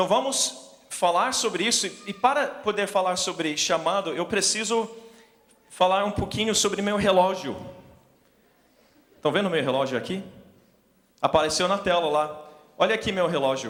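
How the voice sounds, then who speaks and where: A high-pitched man with a non-native accent, lively intonation and long, frequent pauses, heard with audible room echo and noticeable background noise. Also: moderate pace. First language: English (speaking Portuguese). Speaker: missionary preacher. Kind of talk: sermon. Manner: halting.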